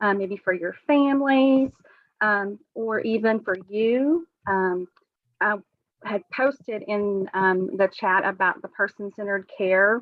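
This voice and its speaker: Speaking at a very slow pace in a Southern US accent, a woman keeps a medium pitch with ordinary pitch variation. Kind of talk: webinar presentation. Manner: hesitant, many fillers.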